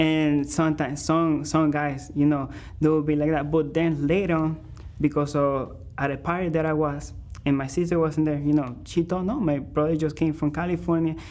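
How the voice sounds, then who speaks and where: A man with a Spanish accent, a fairly high pitch, a moderate pace, and flat, monotone intonation. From Venezuela. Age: 20s. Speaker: musician. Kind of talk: interview. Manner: halting.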